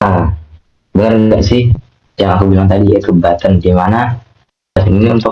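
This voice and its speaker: A fairly low-pitched man's voice, somewhat breathy, with monotone, flat intonation. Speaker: UI/UX design speaker. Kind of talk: online workshop talk. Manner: casual, chatty.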